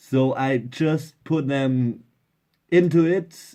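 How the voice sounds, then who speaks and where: Recorded very cleanly against a silent background, a man speaks with a German accent. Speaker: DIY electronics hobbyist. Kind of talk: casual tutorial. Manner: halting.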